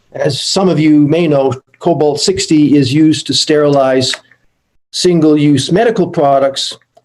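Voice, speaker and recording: A man with a fairly high-pitched voice talks at a moderate pace with ordinary pitch variation. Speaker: panel speaker, Canadian trade representative. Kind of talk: conference panel presentation. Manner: hesitant with fillers.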